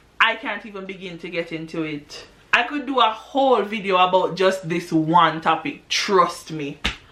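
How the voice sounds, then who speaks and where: With hardly any pauses and big swings in loudness, a woman speaks at medium pitch over noticeable background noise. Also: lively intonation, moderate pace. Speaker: English teacher in Japan. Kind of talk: casual talk to camera.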